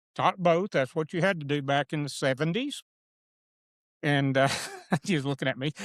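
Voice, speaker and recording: A man with an Arkansas accent talks at a moderate pace in a fairly high pitch, with ordinary pitch variation. Long, frequent pauses break up his speech, and the sound is dry and close with no echo. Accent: Arkansas Southern US. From Arkansas, Franklin County area. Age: 70s. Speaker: political candidate, retired educator. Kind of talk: casual interview chat. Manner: halting.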